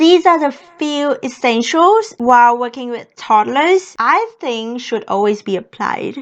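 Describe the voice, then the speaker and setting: A woman's high-pitched voice with a Vietnamese accent, lively intonation, a fairly slow pace and hardly any pauses. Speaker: au pair and vlogger. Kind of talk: vlog talk to camera.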